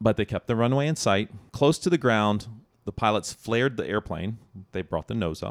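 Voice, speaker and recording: With a dry, close sound and no echo, a man speaks in a plain, everyday voice at medium pitch, moving at a moderate pace with lively intonation. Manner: urgent, clipped and tense, narrating in the present tense.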